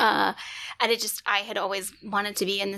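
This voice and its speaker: A woman with an American accent, medium pitch, vocal fry and a bright, sharp tone, at a very fast pace. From US South, Alabama (Huntsville). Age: 40s. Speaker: professor and sexologist. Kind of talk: podcast interview. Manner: chatty, animated.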